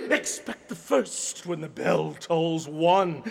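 Fairly slow delivery in a put-on character voice by a man. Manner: solemn, prophetic.

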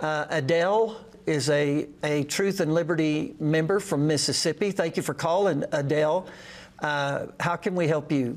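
In an ordinary speaking voice, a man talks at a moderate pace with a fairly high pitch, ordinary pitch variation and very even loudness. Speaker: pastor. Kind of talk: live call-in show. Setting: studio.

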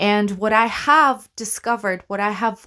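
A woman with a non-native accent sounds animated, with ordinary pitch variation. The recording is very clean, with a silent background. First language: not English. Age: 30s. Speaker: actor and podcast host. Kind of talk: solo monologue podcast. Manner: animated, rambling with fillers and laughs.

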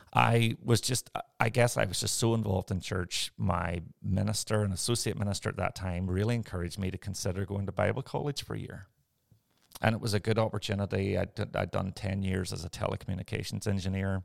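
Speech in a Northern Irish accent comes at a fairly quick pace with fairly even intonation. The sound is dry and close with no echo, on a very clean recording with a silent background. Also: man. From Northern Ireland. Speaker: pastor. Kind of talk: interview conversation.

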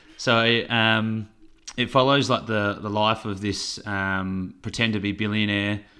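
In a very clean recording with a silent background, a man with an Australian accent speaks fairly slowly in a fairly low pitch, his tone bright and sharp and his intonation monotone and flat. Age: 20s. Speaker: podcast co-host. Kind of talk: casual chat.

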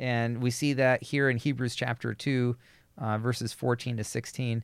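On a very clean recording with a silent background, a man talks in an unremarkable speaking voice. His pitch is medium and his intonation fairly even. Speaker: podcast co-host and pastor. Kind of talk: casual Bible study discussion.

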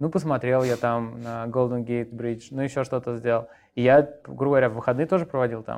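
A man talks at a very fast pace and medium pitch. His intonation is fairly even, and the background is quiet. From Moscow, Russia. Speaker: coding bootcamp founder. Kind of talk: interview.

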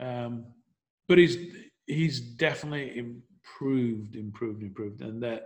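Speaking with an American accent, a man uses a medium pitch and ordinary pitch variation. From northern England, Leeds. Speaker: real estate team leader. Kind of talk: interview.

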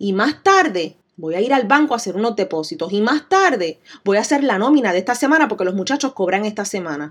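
A woman with a Puerto Rican accent talks fairly quickly with hardly any pauses, her fairly high voice animated and swinging very widely in pitch. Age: 30s. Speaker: podcast host, business owner. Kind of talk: solo podcast monologue.

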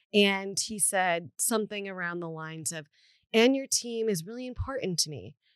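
At a moderate pace, a woman with an unremarkable speaking voice uses lively intonation and big swings in loudness. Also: medium pitch for a woman. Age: 30s. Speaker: podcast co-host. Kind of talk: casual chat.

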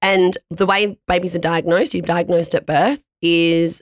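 A woman's fairly low, energetic voice with an Australian accent at a moderate pace, dry and close with no echo, on a very clean recording with a silent background. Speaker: patient advocate with cystic fibrosis. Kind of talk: podcast interview.

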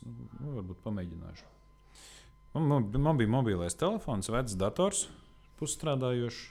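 His tone dark and mellow and his pitch medium, a man speaks with big swings in loudness and very wide pitch swings. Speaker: medic and first aid instructor. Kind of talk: casual interview.

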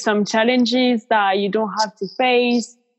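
Fairly slow and fairly even in intonation, the speech carries a French accent. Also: woman. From France. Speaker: yoga teacher and nutrition coach. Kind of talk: casual interview chat.

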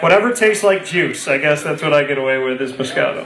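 With audible room echo, a man at a fairly high pitch talks at a fast pace with lively intonation.

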